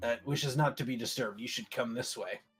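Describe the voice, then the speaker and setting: Doing a put-on character voice, a man speaks raspily at a very fast pace and medium pitch while faint music plays in the background. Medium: actual play. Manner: stammering, hesitant.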